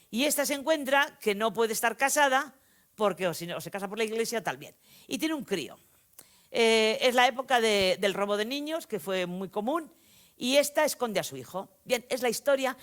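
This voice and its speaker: A woman at a fairly quick pace and fairly high pitch, with big swings in loudness, on a very clean recording with a silent background. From Spain, Vitoria-Gasteiz (Basque Country). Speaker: novelist. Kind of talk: lecture. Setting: stage with audience. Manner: animated, conversational storytelling.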